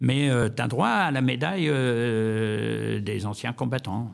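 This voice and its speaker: A man speaks with vocal fry. His pitch moves in an ordinary way. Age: 80s+. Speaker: war veteran. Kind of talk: interview testimony. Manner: halting.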